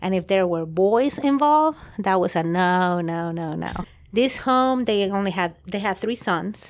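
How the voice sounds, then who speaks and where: The speaker has a Spanish accent and lively intonation. The pace is moderate. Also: woman. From Guatemala. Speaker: pastor and teacher. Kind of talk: testimony. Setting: studio.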